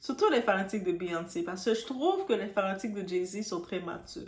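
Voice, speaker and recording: A woman with a strong Quebec accent, medium pitch and an animated tone, at a moderate pace amid noticeable background noise. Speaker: YouTuber, celebrity news commentator. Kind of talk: casual vlog commentary. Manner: halting.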